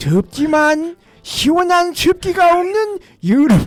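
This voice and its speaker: A man doing a put-on character voice. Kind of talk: reading viewer comments.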